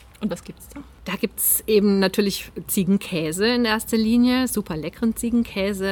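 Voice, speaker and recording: A woman's somewhat breathy voice at a medium pitch. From Swabian Alb, Germany (Zollernalb area). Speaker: author. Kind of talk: casual interview. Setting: at the guest's home.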